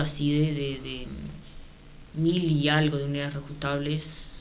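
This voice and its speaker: Audible room echo follows a woman speaking in a very deep, low voice. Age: 30s. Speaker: housing cooperative president. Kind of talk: radio interview.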